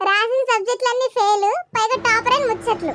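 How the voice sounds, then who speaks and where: A put-on character voice with an extremely high pitch. It sounds squeaky. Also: moderate pace. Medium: comedy sketch. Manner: sarcastic.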